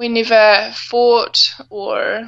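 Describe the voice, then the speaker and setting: The speaker is a woman with a New Zealand accent. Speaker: adventure racer. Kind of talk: casual interview.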